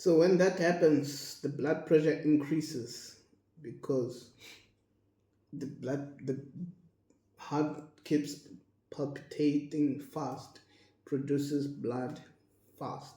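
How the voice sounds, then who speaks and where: Somewhat breathy and monotone with flat intonation, the voice moves at a very slow pace with long, frequent pauses and audible room echo. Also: man. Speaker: health educator and dialysis patient. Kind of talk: casual educational monologue. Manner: halting.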